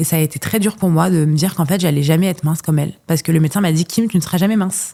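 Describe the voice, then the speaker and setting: The woman's tone is dark and mellow. She talks at a fairly quick pace with fairly even intonation. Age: 20s. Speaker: content creator and podcaster. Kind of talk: casual interview chat. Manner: fast, halting with many repetitions.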